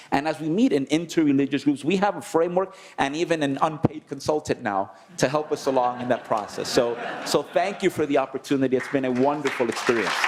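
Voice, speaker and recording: Over noticeable background noise, a man with a fairly high pitch and ordinary pitch variation talks at a very fast pace. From Dominican Republic. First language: Spanish. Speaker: conference delegate. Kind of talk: closing remarks at a conference. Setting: conference plenary session.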